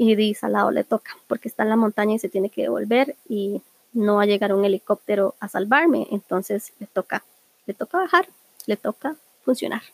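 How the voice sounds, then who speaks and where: In a Costa Rican accent, the speaker talks at a fairly quick pace with ordinary pitch variation in a dry, close sound with no echo. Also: woman, medium pitch for a woman. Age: 20s. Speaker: podcast host. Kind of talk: casual monologue.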